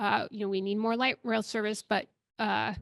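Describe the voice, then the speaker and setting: A woman's fairly high voice, fairly quick and monotone with flat intonation, in a dry, close sound with no echo over a quiet background. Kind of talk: panel talk. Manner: soft-spoken; halting, many fillers.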